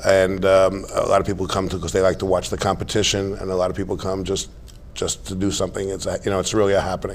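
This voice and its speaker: A man speaks very fast in a very deep, low voice with monotone, flat intonation. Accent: New York. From New York, Staten Island. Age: 60s. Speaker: retired financier, horse show president. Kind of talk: interview.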